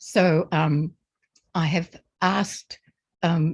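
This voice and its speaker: In an Australian accent, a woman speaks in a somewhat breathy voice with fairly even intonation, the sound dry and close with no echo. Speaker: presenter, lecturer. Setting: lecture or presentation with slides. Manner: tries to speak slowly.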